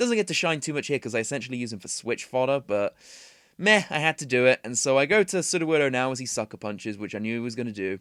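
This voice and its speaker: Delivered at a very fast pace with lively intonation, a man with a British accent is heard in a dry, close sound with no echo on a very clean recording against a silent background. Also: medium pitch for a man. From Britain. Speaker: gaming commentator. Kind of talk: gameplay commentary. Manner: casual, filler-heavy.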